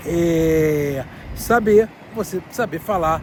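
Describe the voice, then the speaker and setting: Noticeable background noise sits behind a man whose fairly high pitch shows ordinary pitch variation. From Brazil, Rio de Janeiro. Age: 40s. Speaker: vlogger. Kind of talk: casual vlog talk to camera. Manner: hesitant, many fillers.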